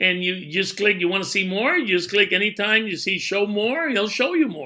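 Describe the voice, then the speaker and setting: Raised and projected, a man's high, bright, sharp voice moves at a moderate pace with ordinary pitch variation. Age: 60s. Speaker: network marketing promoter. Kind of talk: tutorial. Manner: casual, with many fillers.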